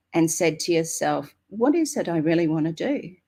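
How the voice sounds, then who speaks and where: In a very clean recording with a silent background, a woman talks with an Australian accent. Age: 60s. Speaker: network marketing member. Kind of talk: interview. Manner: halting.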